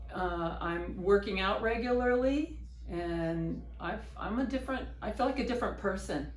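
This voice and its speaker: There is noticeable background noise and audible room echo. A woman speaks at a moderate pace. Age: 60s. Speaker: patient. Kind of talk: testimony. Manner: halting.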